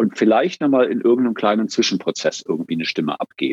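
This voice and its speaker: A man speaks. The sound stays dry and close, without any echo. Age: 50s. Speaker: organizational consultant and therapist. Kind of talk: interview conversation.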